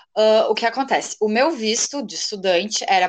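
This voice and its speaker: Speaking in a southern Brazilian accent, a woman uses lively intonation at a medium pitch. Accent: gaúcho Brazilian Portuguese. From Rio Grande do Sul, Brazil. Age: 20s. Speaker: law graduate, would-be exchange student. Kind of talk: casual interview chat.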